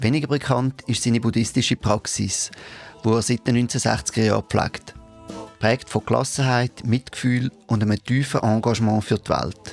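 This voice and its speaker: This man's intonation stays fairly even, with music in the background. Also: medium pitch for a man, moderate pace. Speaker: podcast host. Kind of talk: podcast introduction.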